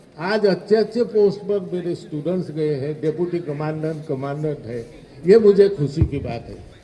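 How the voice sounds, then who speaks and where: There is audible room echo and noticeable background noise. Through it, a man speaks at a fairly high pitch with ordinary pitch variation. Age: 70s. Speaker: retired teacher. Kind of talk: speech at alumni event.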